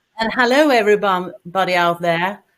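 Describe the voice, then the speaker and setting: A woman speaks in a Swedish accent with ordinary pitch variation. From Sweden. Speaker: cancer patient, support group founder. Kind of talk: presentation.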